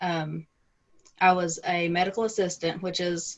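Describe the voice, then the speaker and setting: A fairly slow, fairly low-pitched woman's voice. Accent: strong Southern US. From US South, Middle Tennessee. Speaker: romance author and editor. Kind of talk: interview.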